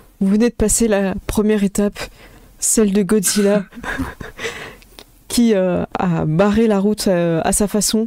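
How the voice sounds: Her intonation fairly even, a woman speaks at a medium pitch in a dark, mellow tone.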